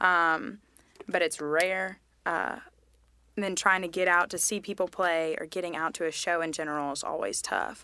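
Woman's voice with an American accent, bright and sharp in tone, fairly low in pitch, at a moderate pace with fairly even intonation, in a very clean recording with a silent background. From Charlotte, North Carolina. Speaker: musician. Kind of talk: casual chat.

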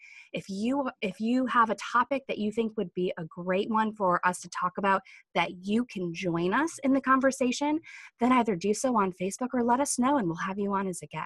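A woman with a plain, everyday voice talks fairly quickly at a fairly high pitch with lively intonation, in a dry, close sound with no echo. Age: 30s or 40s. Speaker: digital marketing agency owner and podcast co-host. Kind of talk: casual chat.

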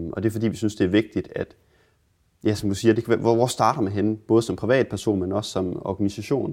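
A man with a fairly low pitch talks at a very fast pace with fairly even intonation. The recording is very clean with a silent background. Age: 20s. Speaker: repair café founder. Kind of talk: interview.

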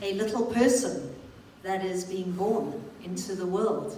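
Very slowly, a woman speaks at a medium pitch with ordinary pitch variation, with noticeable background noise behind her. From England. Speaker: church leader / panel moderator. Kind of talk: church panel moderation. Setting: church with audience.

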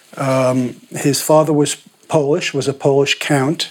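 Noticeable background noise sits behind a man's voice. His fairly high pitch stays monotone and flat. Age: 60s. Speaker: painter and biographer. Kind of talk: interview conversation.

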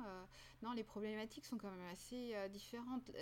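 Here is a woman with an ordinary speaking voice, medium pitch and ordinary pitch variation. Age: 50s. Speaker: university program director. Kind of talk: interview conversation.

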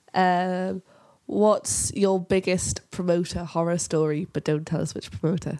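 A fairly slow voice with a Geordie accent on a very clean recording with a silent background. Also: woman, fairly low pitch for a woman. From northern England, Newcastle area. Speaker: music podcast host and journalist. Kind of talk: casual chat; sponsor read.

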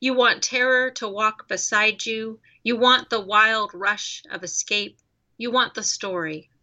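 A woman with an American accent speaks in a normal speaking voice at a fairly high pitch. Her pace is fairly slow and her intonation fairly even. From Colorado, US. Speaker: poet. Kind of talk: poetry reading.

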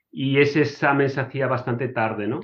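A man's plain, everyday voice, fairly high in pitch, fairly quick, with fairly even intonation. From Spain (Murcia). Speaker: engineer. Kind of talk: casual interview.

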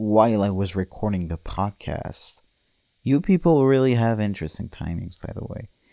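A man's dark, mellow, relaxed voice with lively intonation at a moderate pace, dry and close with no echo, on a very clean recording with a silent background. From France. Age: 20s. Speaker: podcast host, animation student. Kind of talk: casual monologue. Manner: rambling with many fillers; relaxed, drowsy.

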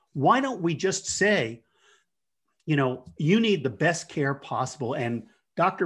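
A man with an unremarkable speaking voice and an American accent talks at a fairly slow pace with lively intonation over a quiet background. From US Northeast, Jersey Shore, New Jersey. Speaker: palliative care physician. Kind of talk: interview.

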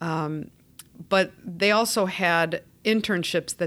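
With an American accent, a woman has an ordinary speaking voice, a fairly low pitch and ordinary pitch variation, recorded very cleanly against a silent background. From Chicago, US Midwest. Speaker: social work executive director. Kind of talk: interview.

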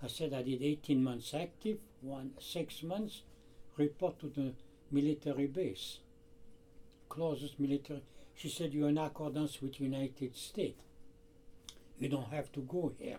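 With a French accent, a man speaks at a moderate pace in a dark, mellow tone, a fairly high pitch and ordinary pitch variation, leaving long, frequent pauses. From France. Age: 80s+. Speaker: shoe repairman. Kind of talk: casual interview conversation. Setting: in his shoe repair shop. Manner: halting; animated.

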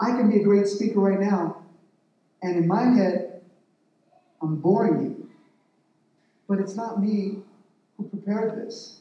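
With audible room echo, a man with a high-pitched voice speaks at a fairly slow pace, in fairly even intonation with long, frequent pauses. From Mexican-American family, US. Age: 50s. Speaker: lay preacher. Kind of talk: sermon. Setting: church.

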